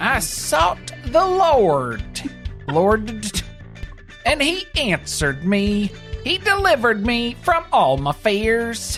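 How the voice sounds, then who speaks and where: Over clear music in the background, a female-sounding voice speaks very slowly in a put-on character voice. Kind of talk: sermon-like, solemn.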